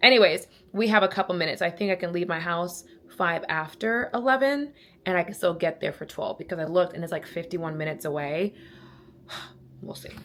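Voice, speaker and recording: Her tone animated, a woman with a fairly low pitch and ordinary pitch variation talks at a very fast pace. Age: 30s. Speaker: lifestyle vlogger. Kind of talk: casual vlog talk to camera.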